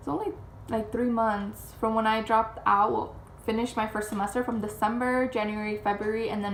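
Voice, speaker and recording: Over noticeable background noise and audible room echo, a woman with a fairly high pitch speaks at a very fast pace with fairly even intonation. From Chicago area, Mexican-American family. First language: Spanish. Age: 20s. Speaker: vlogger. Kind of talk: casual chat.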